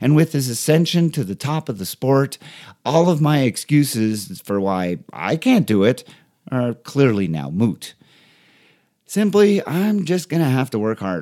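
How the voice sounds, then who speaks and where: With very wide pitch swings, a man speaks at a fairly slow pace in a fairly high pitch. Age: 50s. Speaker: podcast host, emergency physician and triathlon coach. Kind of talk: casual interview and scripted monologue.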